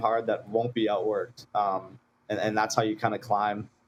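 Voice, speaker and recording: The speaker talks at a fairly quick pace with a Saskatchewan accent. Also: man. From Saskatchewan, Canada. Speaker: college hockey player. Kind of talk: interview.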